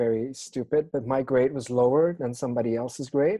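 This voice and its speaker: In a quiet setting, a man with a dark, mellow tone speaks at a moderate pace with fairly even intonation. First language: not English. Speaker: podcast co-host. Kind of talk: casual chat. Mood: relaxed, slightly amused. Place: home room. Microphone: video call.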